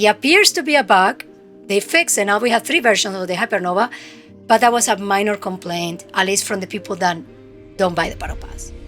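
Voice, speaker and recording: A woman with a strong Spanish accent at medium pitch, ordinary pitch variation and a fairly quick pace, with music in the background. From Spain. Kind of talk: casual game review talk to camera.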